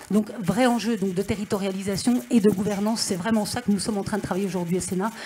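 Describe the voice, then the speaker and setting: A woman at medium pitch speaks at a very fast pace. Noticeable background noise runs underneath. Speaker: senator and regional councillor. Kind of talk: panel discussion remarks.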